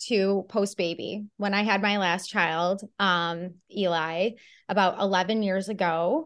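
Over a quiet background, a woman with a normal speaking voice talks at a fairly slow pace in a medium pitch. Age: 40s. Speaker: nutrition and fitness coach. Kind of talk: interview.

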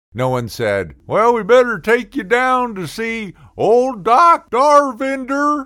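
The recording is very clean, and the background is silent. A man talks in an animated tone. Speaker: comedy podcaster. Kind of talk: comedic rant; angry rant. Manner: animated, sarcastic.

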